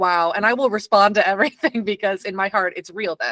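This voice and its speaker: A woman at medium pitch and a fairly quick pace, ordinary pitch variation, and a dry, close sound with no echo. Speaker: film industry worker and horror writer. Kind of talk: casual chat. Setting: video call.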